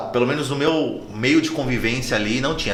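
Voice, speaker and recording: At a moderate pace, a voice with a slight northeastern Brazilian accent comes through audible room echo and noticeable background noise. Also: man. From Brazil, Natal (Northeast). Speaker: oral and maxillofacial surgeon. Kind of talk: casual chat.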